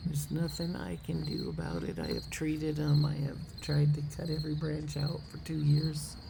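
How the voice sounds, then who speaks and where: With hardly any pauses, a woman talks over noticeable background noise and audible room echo. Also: moderate pace. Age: 60s. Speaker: hummingbird vlogger. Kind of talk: casual chat. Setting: outdoors.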